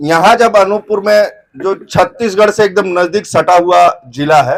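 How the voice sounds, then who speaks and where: His pitch varies in an ordinary way. The man's voice is high. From Chhattisgarh, India (near Jharkhand/UP/Odisha border). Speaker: activist journalist leader. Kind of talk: protest speech.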